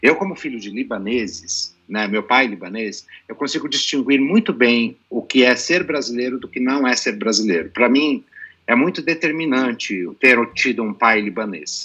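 A man speaks in a plain, everyday voice at a medium pitch. His intonation is lively and his pace moderate. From Brazil, son of Lebanese father. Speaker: psychologist. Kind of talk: panel discussion.

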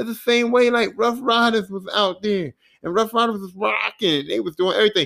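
A man's raised, projected voice with a Philadelphia accent, a bright, sharp tone and a fairly quick pace. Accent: Philadelphia urban American English. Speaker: podcast host. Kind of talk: casual solo podcast monologue. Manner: casual, rambling, hesitant.

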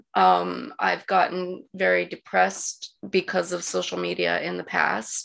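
Hardly pausing at all, a woman speaks at a fairly slow pace. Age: 40s. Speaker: podcast co-host. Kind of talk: casual interview.

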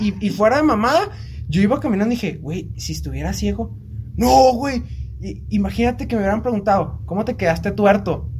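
Against noticeable background noise and audible room echo, a man with a Mexican accent speaks at a fairly quick pace. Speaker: podcast co-host. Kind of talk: casual chat.

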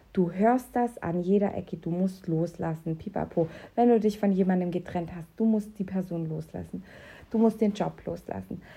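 At a moderate pace, a woman speaks in a somewhat breathy, dark, mellow tone at medium pitch, her intonation fairly even. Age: 30s. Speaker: podcast host and health coach. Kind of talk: promotional pitch; personal monologue. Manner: casual, with filler sounds.

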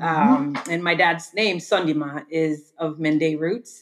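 Fairly slowly, a woman talks with a very deep, low pitch. Her intonation stays fairly even. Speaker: podcast host, interviewing her father. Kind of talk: casual interview conversation.

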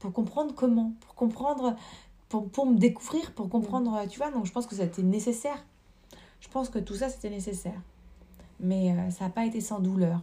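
A woman's fairly high, somewhat breathy voice with a dark, mellow tone, ordinary pitch variation, big swings in loudness, a moderate pace, and long, frequent pauses. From rural France. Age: 30s. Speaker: dancer. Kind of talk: casual chat. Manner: halting.

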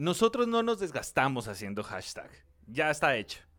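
Recorded very cleanly over a silent background, a man's fairly high voice moves through very wide pitch swings. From Colombia, Soacha near Bogotá. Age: 30s. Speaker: podcast co-host. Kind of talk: casual chat.

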